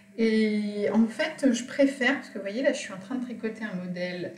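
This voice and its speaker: Noticeable background noise surrounds this woman. The room echo is audible too. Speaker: knitting and sewing podcaster. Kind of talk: casual chat. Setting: video call. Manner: hesitant, many fillers; soft-spoken.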